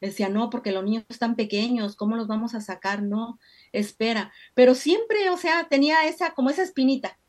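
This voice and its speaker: A woman's ordinary speaking voice, fairly high in pitch with lively intonation, in a very clean recording with a silent background. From Mexico. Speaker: candle-making entrepreneur. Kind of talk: interview.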